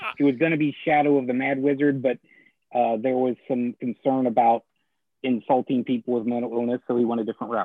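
Medium in pitch, this man has an unremarkable speaking voice. His intonation is fairly even. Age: 40s. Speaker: comic shop owner and blogger. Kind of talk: casual chat. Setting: live stream.

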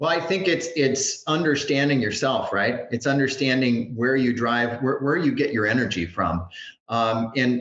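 A medium-pitched man speaks over noticeable background noise. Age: 40s. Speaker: franchise consultant. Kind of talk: interview podcast.

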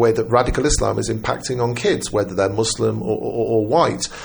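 With noticeable background noise, a man speaks at a medium pitch in a British accent. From Britain. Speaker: journalist. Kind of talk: casual chat.

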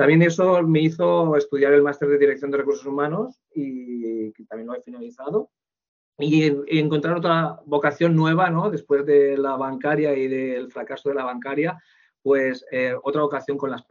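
This man has an unremarkable speaking voice, fairly high in pitch with ordinary pitch variation, moving at a moderate pace through big swings in loudness. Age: 40s. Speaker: human resources manager. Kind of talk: interview.

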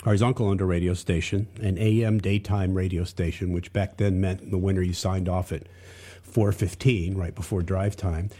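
On a very clean recording with a silent background, a man with an American accent speaks at a moderate pace with fairly even intonation. His voice is very deep and low in pitch, dark, mellow and somewhat breathy. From US South, Charlotte, North Carolina. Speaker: music industry executive. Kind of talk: casual chat.

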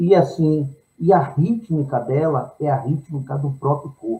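Somewhat breathy and dark, mellow in tone, a man speaks in a fairly high pitch with a Bahian accent. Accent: Bahian Brazilian Portuguese. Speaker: singer-songwriter. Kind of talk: interview.

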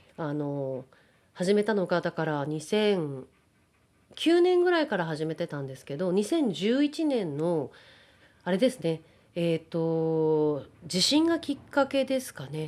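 A woman speaks very slowly at a fairly low pitch, her pitch swinging very widely and her loudness rising and falling sharply. The recording is very clean, with a silent background. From Japan (Kawagoe, Saitama), partly raised in the US. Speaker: actor and freelance announcer. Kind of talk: interview.

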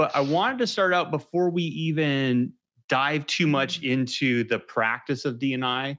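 Delivered at a fairly slow pace with very even loudness and ordinary pitch variation, this is a plain, everyday voice. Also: man, fairly high pitch for a man. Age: 40s. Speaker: podcast host. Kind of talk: interview, professional conversation. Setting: virtual studio, remote call.

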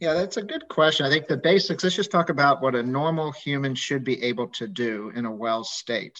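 An unremarkable speaking voice from a man, fairly high in pitch, fairly quick with hardly any pauses and lively intonation. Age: 50s. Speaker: physician and medical professor. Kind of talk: casual interview. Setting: video call.

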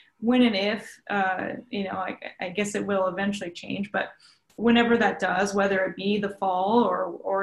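A woman with a Canadian accent, medium pitch, somewhat breathy and monotone, flat in intonation. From Ontario, Mohawk territory (Tyendinaga). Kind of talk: interview. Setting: virtual studio, remote.

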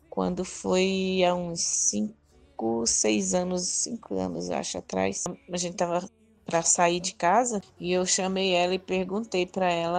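A woman speaking at a fairly slow pace, with music in the background. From Northeast Brazil. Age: 50s. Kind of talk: testimony.

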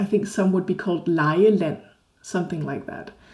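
A woman with a Danish accent speaks at a medium pitch, her somewhat breathy voice dark and mellow in tone. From Denmark. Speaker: Danish language teacher. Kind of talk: interview.

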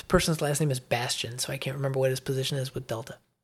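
A somewhat breathy voice with an American accent. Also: man. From US Midwest. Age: 50s.

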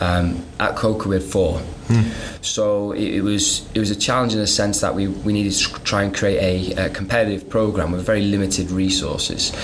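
Someone with a Welsh accent talks fairly quickly in a flat monotone, with noticeable background noise and audible room echo. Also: man. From North Wales. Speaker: soccer coach. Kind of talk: casual interview.

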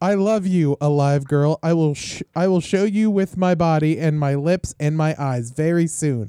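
Using a put-on, robotic character voice, a man speaks fairly slowly at a fairly high pitch. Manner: flat, mechanical declaration of love.

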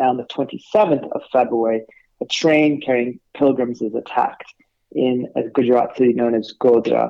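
This man speaks in a Californian accent at a medium pitch. His intonation is fairly even. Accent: American, Californian. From California, US. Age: 40s. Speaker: academic and writer on India. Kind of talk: interview discussion.

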